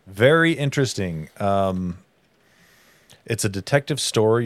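A man with a normal speaking voice talks at a moderate pace with ordinary pitch variation. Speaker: podcast host. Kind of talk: casual chat. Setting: remote recording via streaming software.

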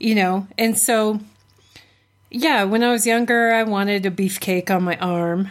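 With very even loudness and fairly even intonation, a woman speaks at a fairly slow pace and medium pitch in a normal speaking voice. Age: 40s. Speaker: podcast co-host and psychology student. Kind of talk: casual chat.

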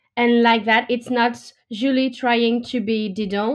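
With a French accent, a woman speaks in a fairly high voice. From France. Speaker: opera singer. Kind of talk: interview. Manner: halting.

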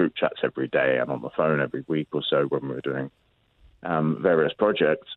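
Speaking in a London accent, a man with a very deep, low pitch talks at a fairly quick pace. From London, England. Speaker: tournament organiser. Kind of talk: interview.

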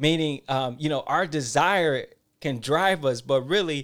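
A man speaks with an American accent in a normal speaking voice. His intonation is lively, and the recording is very clean with a silent background. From Detroit, Michigan. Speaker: podcast host. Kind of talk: casual chat.

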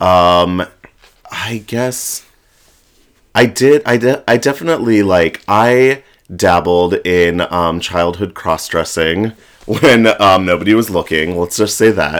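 A man's very deep, low voice in an American accent, very slow, with ordinary pitch variation. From Florida. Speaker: drag performer. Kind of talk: casual chat. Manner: halting, many fillers.

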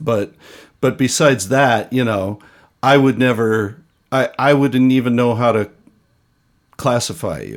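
This man has a normal speaking voice, pitched at a medium level and delivered at a fairly slow pace. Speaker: podcast host and music educator. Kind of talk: casual interview.

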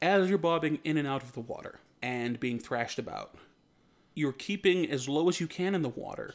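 An unremarkable speaking voice with ordinary pitch variation and big swings in loudness comes through on a very clean recording with a silent background. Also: man, fairly high pitch for a man. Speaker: game master of tabletop roleplaying podcast. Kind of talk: tabletop roleplaying narration.

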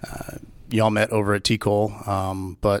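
A Texan accent on a very clean recording with a silent background. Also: man. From Texas. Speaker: police officer and Marine veteran. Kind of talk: interview conversation.

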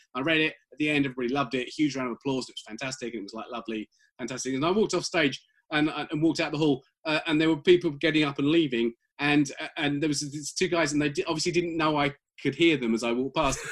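This man, with a British accent, talks at a very fast pace in a fairly high pitch with ordinary pitch variation. The recording is very clean, with a silent background. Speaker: comic book writer. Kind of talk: interview. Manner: halting, repeats words.

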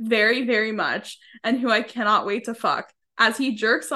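The background stays quiet. An unforced reading voice keeps a fairly even intonation.

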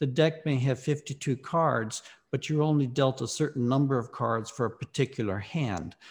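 A man with an American accent, medium-pitched and somewhat breathy, at a moderate pace with ordinary pitch variation and very even loudness, on a very clean recording with a silent background. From US South, Mississippi. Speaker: philosophy professor and author. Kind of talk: interview.

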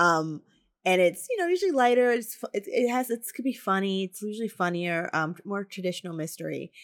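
A woman with an American accent and an unremarkable speaking voice, medium pitch, ordinary pitch variation, big swings in loudness, and a fairly quick pace. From New Jersey, Morris County. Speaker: author. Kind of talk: casual chat. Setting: video call.

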